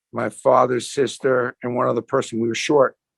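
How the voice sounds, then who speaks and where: A man with a New York accent at a medium pitch, fairly quick in pace, with fairly even intonation. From US Northeast (Brooklyn, New York). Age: 60s. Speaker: sports memorabilia entrepreneur. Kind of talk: interview conversation.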